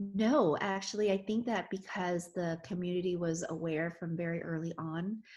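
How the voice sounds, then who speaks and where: A woman speaks in a plain, everyday voice at a fairly low pitch, with fairly even intonation. The recording is very clean, with a silent background. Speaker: physician. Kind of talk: interview answer.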